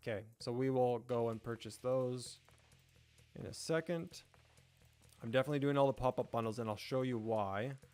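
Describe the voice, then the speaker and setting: Over music in the background, a man with an American accent speaks at a medium pitch with fairly even intonation. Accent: sounds American. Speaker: gaming YouTuber / live streamer. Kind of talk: casual live-stream gameplay commentary. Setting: live stream with chat, background music. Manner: casual, chatty, with fillers.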